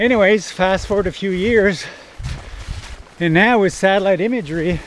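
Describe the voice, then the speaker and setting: A high-pitched man speaks at a moderate pace over noticeable background noise. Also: dry sound with no echo. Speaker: waterfall explorer vlogger. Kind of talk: casual vlog chat. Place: forest. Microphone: phone near.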